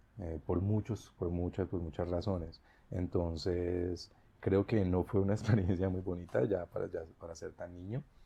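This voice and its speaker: This man has a very deep, low pitch and a dark, mellow tone that is somewhat breathy. He speaks at a fairly slow pace with fairly even intonation. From Colombia, Bogotá (born in Bucaramanga, moved at 5-6). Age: 40s. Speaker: teacher. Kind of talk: interview.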